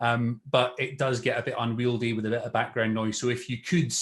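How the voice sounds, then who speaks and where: A man with a Scottish accent talks at a medium pitch and a fairly quick pace, keeping his intonation fairly even. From Scotland. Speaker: local councillor. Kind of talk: webinar presentation. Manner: hesitant, many fillers.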